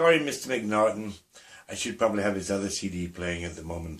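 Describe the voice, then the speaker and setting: This is a man speaking with a Scottish accent. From Scotland. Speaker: artist and craft tutorial maker. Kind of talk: tutorial. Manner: casual, chatty with filler hesitations.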